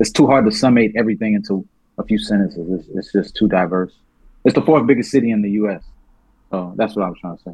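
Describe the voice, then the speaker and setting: A man talks at a very fast pace in a fairly low pitch. His tone is dark and mellow, with ordinary pitch variation. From US South, born in New Orleans. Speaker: rapper, songwriter, producer. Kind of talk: casual chat.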